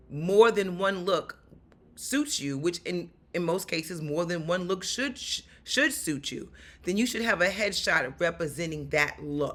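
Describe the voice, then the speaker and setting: An animated voice with a New York accent, lively intonation and a fairly slow pace, in a very clean recording over a silent background. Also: woman. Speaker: actor and stuntwoman. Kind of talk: vlog tutorial.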